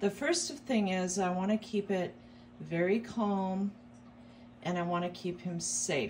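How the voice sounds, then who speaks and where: Somewhat breathy and in a dark, mellow tone, a woman speaks at a fairly slow pace over light background noise. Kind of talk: tutorial. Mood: calm, soothing. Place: home room.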